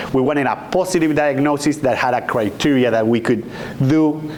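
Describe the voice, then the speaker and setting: A man speaks fairly quickly with an Argentine accent. The room echo is audible, and there is noticeable background noise. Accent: Argentinian. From Argentina. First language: Spanish. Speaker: physician, endocrinologist. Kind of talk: lecture.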